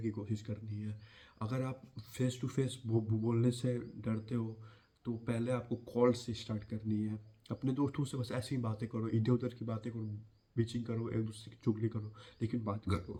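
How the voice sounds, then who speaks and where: In a monotone, flat delivery, a man with a medium pitch sounds somewhat breathy. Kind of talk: personal story and advice talk to camera.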